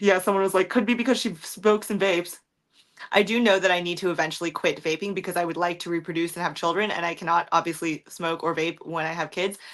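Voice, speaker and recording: A woman with a fairly low voice speaks at a very fast pace. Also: fairly even intonation. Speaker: streamer. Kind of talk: livestream chat reading comments.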